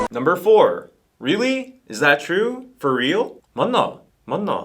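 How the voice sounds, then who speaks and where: Moving through very wide pitch swings, a man speaks in a high pitch at a very slow pace. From Busan, South Korea. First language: Korean. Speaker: language teacher. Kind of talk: casual talk to camera.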